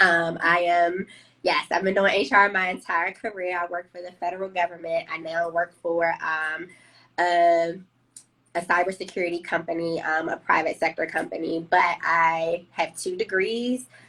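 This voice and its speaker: With an American accent, a woman speaks at a moderate pace in a fairly low pitch, her bright, sharp tone carrying monotone, flat intonation. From Washington, D.C. (Southeast). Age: 30s. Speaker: HR professional, trauma survivor sharing her story. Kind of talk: testimony in live interview.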